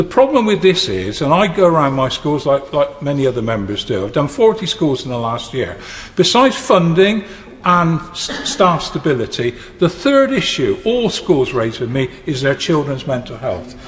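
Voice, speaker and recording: A man talks at a moderate pace with a fairly high pitch. His pitch swings very widely. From England. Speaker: member of parliament. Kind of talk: parliamentary speech. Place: hall. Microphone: podium.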